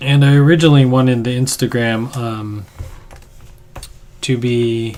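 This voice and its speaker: A quiet voice at a fairly slow pace. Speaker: artist livestreamer. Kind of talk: casual livestream chat. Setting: home studio.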